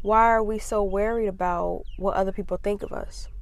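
At a fairly slow pace, the voice keeps a fairly even intonation amid audible room echo. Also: woman. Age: 20s. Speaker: podcast host. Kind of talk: casual monologue.

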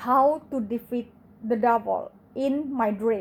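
Dark, mellow tone at a very slow pace, with ordinary pitch variation. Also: woman. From Indonesia. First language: Indonesian. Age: 40s. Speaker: podcaster. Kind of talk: testimony. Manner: halting.

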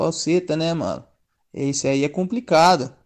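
In a quiet background, a man talks at a moderate pace in a high voice. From Presidente Prudente, São Paulo state, Brazil. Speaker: musician and meme page admin. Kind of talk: casual chat. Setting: voice messages over WhatsApp.

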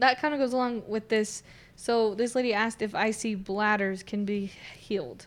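Speaking in a normal speaking voice, a woman with a fairly high pitch and fairly even intonation talks at a moderate pace in a very clean recording with a silent background. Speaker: co-host. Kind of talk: casual health talk show. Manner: cheerful, laughs often.

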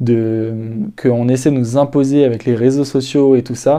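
Speaking at a medium pitch, a man uses fairly even intonation and a dark, mellow tone. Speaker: solo podcaster giving personal development advice. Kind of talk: casual monologue. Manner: halting, with many fillers and repetitions.

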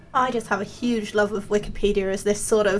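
Speaking at a very fast pace, a woman uses a fairly high pitch. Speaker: podcast host, research student. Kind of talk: interview.

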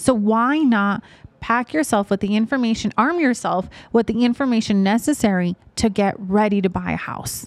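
The recording is dry and close with no echo, carrying an ordinary speaking voice with an American accent, ordinary pitch variation and a moderate pace. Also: woman, fairly high pitch for a woman. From Las Vegas, Nevada (North Las Vegas). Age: 20s. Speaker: realtor. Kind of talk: interview conversation.

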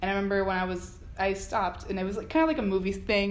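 A woman with an American accent talks at a very fast pace. Room echo is audible. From South Florida, Miramar. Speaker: student TV producer and director. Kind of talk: casual interview. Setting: college building. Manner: hesitant with many fillers.

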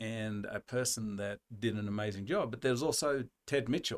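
This man has an Australian accent and a medium pitch. The sound is dry and close, with no echo. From rural Australia. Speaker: university dean and veterinary scientist. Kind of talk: casual interview.

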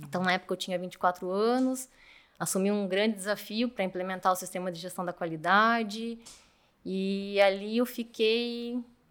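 A woman at medium pitch and a moderate pace, in a very clean recording with a silent background. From Brazil, Curitiba. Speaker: mechanical engineer and manager. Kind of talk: interview.

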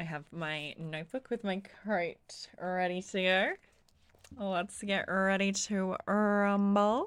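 A woman at a medium pitch and a very slow pace, her intonation fairly even, in a very clean recording with a silent background. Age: 20s. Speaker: podcast co-host. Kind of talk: casual chat.

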